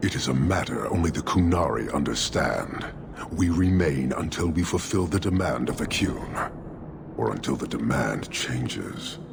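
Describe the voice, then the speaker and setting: Over loud background noise, a man puts on a character voice with very deep, low pitch at a moderate pace. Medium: machinima. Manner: wry, sarcastic.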